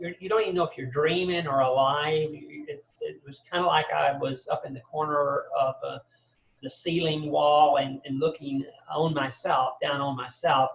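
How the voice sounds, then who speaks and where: A man with a Southern US accent and fairly high pitch talks at a moderate pace. His intonation stays fairly even while his loudness swings widely. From US South, Birmingham, Alabama. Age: 60s. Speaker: mental health advocate. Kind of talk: podcast interview. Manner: halting, many fillers and repetitions.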